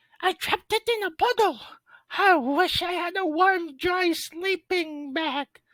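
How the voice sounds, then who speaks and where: In a put-on character voice of extremely high pitch, the speaker goes at a fairly slow pace. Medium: read story.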